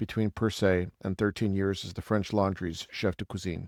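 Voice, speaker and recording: A man with an ordinary speaking voice talks at a fairly quick pace in a fairly low pitch, recorded very cleanly against a silent background with a dry, close sound and no echo. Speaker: podcast host. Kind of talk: podcast intro and interview talk.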